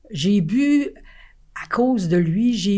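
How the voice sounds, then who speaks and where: A woman's medium-pitched voice with a Quebec accent, dark and mellow in tone, at a very slow pace, on a very clean recording with a silent background. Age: 80s+. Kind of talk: interview answer. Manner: energetic, frank.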